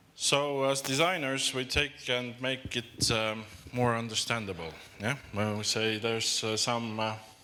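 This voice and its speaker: Audible room echo surrounds a man speaking fairly slowly in a bright, sharp tone. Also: medium pitch for a man, ordinary pitch variation. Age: middle-aged. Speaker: designer. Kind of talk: conference talk. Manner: halting.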